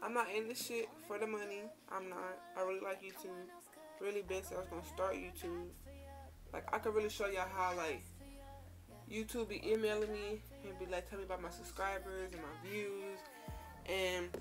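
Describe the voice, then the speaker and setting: A woman talks fairly quickly while music plays clearly behind her. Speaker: vlogger. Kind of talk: casual vlog chat. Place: home room. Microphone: phone near.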